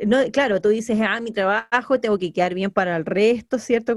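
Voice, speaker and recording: An ordinary speaking voice, the woman's is medium in pitch with ordinary pitch variation and a fairly quick pace. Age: 30s. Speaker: podcast co-host. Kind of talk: casual chat.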